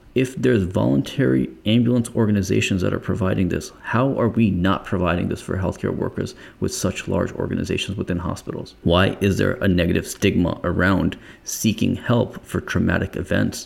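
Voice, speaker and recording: Hardly pausing, a man speaks at a fairly quick pace with vocal fry. His pitch is very deep and low, with ordinary variation. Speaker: podcast co-host, former EMT. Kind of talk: casual podcast conversation.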